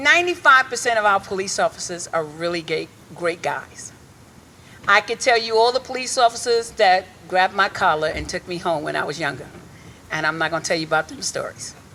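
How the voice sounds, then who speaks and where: An animated tone with lively intonation at a fairly quick pace, over noticeable background noise. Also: woman, medium pitch for a woman. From Hartford, Connecticut inner city. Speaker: reverend and community activist. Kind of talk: rally speech. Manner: loud.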